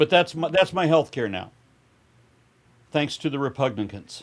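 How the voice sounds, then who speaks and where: A man speaks with a fairly high pitch. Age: 60s. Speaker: podcast guest. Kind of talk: casual political chat. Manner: animated.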